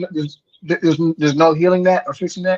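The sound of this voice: The man's tone is slightly mellow and his pitch fairly high for a man. He talks at a fairly quick pace with fairly even intonation.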